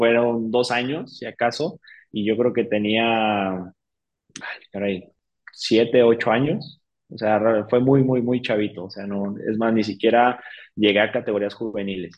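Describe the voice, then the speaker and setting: Fairly slow, fairly level speech from a man with a mid-range pitch. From Mexico, San Luis de la Paz, Guanajuato. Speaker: cycling coach and nutritionist. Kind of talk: interview. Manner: halting, many fillers and repeats.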